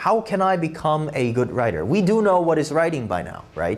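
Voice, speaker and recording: A man with a fairly high pitch speaks at a moderate pace with lively intonation. Audible room echo surrounds his voice. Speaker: SAT essay tutor. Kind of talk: lecture. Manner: halting, many fillers and restarts.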